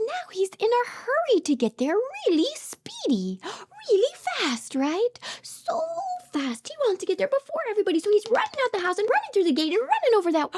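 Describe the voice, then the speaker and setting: A woman talks at a fairly quick pace in an extremely high pitch. The sound is dry and close, with no echo. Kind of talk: toddler read-aloud. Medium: read story. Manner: animated, encouraging, frequent gasps.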